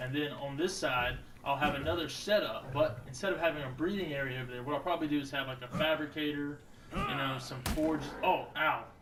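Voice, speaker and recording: Amid noticeable background noise and audible room echo, a man with a fairly high pitch speaks at a fairly quick pace with fairly even intonation. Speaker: gaming youtuber. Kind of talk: gameplay commentary. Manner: casual, joking; loud. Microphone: new cheap twenty dollar mic with pop filter.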